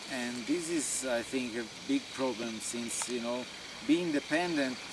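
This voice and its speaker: A fairly slow man's voice in an Italian accent, with audible room echo and noticeable background noise. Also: medium pitch for a man, ordinary pitch variation. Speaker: farmer. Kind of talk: informal talk to visiting group. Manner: halting.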